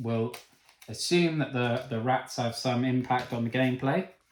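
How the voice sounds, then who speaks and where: Speaking in a Cornish accent, a man talks at a fairly slow pace with ordinary pitch variation amid audible room echo. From Cornwall, England. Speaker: board game reviewer. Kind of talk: unboxing video. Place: home room. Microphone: camera far.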